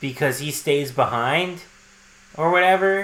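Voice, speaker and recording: A man's bright, sharp voice carries audible room echo and ordinary pitch variation. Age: 30s. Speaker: podcast co-host. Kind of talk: casual chat.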